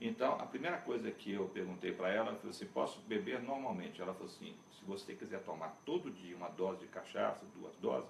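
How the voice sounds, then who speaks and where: A man's voice swings very widely in pitch. Audible room echo and noticeable background noise surround it. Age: 60s. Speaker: cachaça expert. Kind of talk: interview.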